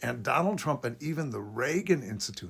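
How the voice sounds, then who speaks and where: With very wide pitch swings, a man talks through noticeable vocal fry. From US, child of immigrants. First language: Polish and Yiddish. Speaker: political commentator. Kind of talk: political commentary monologue.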